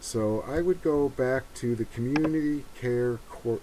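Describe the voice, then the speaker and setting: A man's quiet mumbling. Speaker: humanitarian mapping volunteer. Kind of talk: screen-recorded tutorial walkthrough. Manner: mumbling, quiet.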